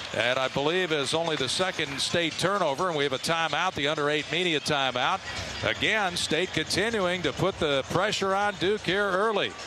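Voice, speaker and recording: A man with a high pitch speaks in an animated tone, keeping his loudness very even. His pitch varies in an ordinary way over noticeable background noise. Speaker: radio play-by-play announcer. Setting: arena broadcast, radio. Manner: fast-paced and animated, clipped play-by-play delivery that rises with big shots; fluent, steady rhythm naming players and court positions.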